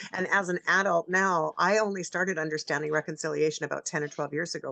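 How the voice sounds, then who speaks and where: Fairly low in pitch, a woman talks in a plain, everyday voice. The sound is dry and close with no echo, over a quiet background. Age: 60s. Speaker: radio host. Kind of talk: radio interview.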